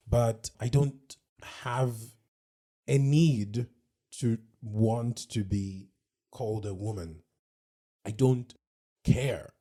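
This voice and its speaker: Speaking at a very slow pace with long, frequent pauses, a man uses a dark, mellow, somewhat breathy voice with ordinary pitch variation. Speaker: podcast co-host. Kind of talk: casual chat.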